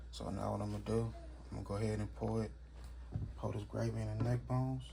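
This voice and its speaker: A man with a very deep, low pitch speaks at a fairly quick pace in a somewhat breathy, dark, mellow and relaxed tone. His intonation is fairly even, with audible room echo. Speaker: home cooking channel host. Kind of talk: cooking tutorial. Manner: casual, relaxed.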